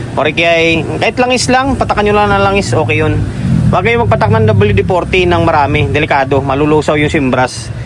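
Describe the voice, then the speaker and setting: A man with a fairly high voice talks at a fairly quick clip, his pitch swinging very widely while his loudness stays very even. There is audible room echo and noticeable background noise. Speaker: electronics repair vlogger. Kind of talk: tutorial. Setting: workshop at night. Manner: soft-spoken. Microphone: no mic.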